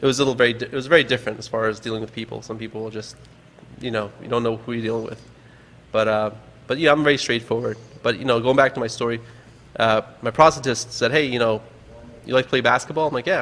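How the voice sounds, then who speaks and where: This man talks at a very fast pace with a medium pitch and fairly even intonation. He leaves long pauses often. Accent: American. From New York, Long Island. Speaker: adaptive sports organizer. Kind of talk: casual chat. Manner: halting.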